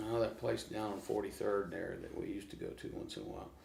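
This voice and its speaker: Speaking with an American accent, a man is heard with audible room echo. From Oklahoma, US. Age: 60s. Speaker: blues guitarist. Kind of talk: casual interview.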